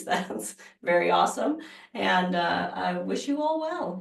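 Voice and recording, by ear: A woman uses a raspy, put-on character voice. She speaks at a fairly slow pace.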